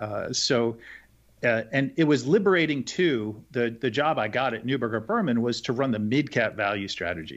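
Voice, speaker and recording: Against a quiet background, a man speaks at a moderate pace in an unremarkable speaking voice. His intonation is lively. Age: 50s. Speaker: investment manager. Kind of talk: interview.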